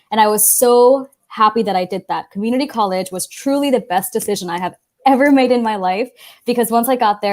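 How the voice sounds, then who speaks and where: A plain, everyday voice from a fairly high-pitched woman, fairly quick in pace with ordinary pitch variation, in a very clean recording with a silent background. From Los Angeles, California. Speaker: college access panelist. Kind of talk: panel talk.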